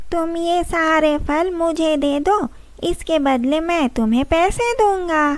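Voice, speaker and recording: In a cartoonish character voice, a woman speaks very slowly at an extremely high pitch over light background noise. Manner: friendly, helpful.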